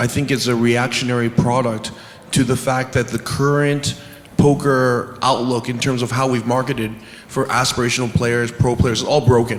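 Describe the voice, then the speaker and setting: With music in the background, a man speaks at medium pitch in a monotone, flat intonation. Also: moderate pace. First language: not English. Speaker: poker industry executive. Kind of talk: panel discussion.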